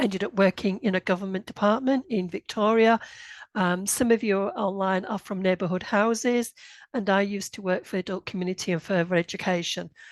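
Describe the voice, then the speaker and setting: In a quiet background, a woman with a northern English accent speaks at a fairly quick pace and medium pitch, her intonation fairly even and the sound dry and close with no echo. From northern England, Bradford, Yorkshire. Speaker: grant writing consultant. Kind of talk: webinar presentation. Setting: online session. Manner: hesitant, with many fillers.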